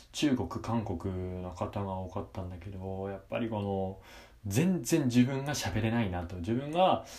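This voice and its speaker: Fairly slow, fairly low-pitched speech from a man, with ordinary pitch variation and audible room echo. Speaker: university student podcaster. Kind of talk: casual monologue. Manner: hesitant with many fillers.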